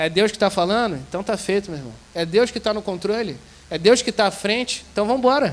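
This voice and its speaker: A man's high-pitched voice at a very fast pace, with ordinary pitch variation. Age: 30s. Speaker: seminarian and guest preacher. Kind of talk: sermon. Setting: church service with congregation.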